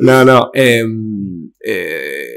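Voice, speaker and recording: There is a man talking against a quiet background. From Basque Country, Spain. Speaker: influencer; podcast guest. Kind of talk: casual chat. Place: studio. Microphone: studio mic.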